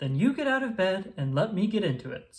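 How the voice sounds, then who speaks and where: A man does a put-on character voice at a high pitch with very wide pitch swings. He talks at a fairly quick pace. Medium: read story.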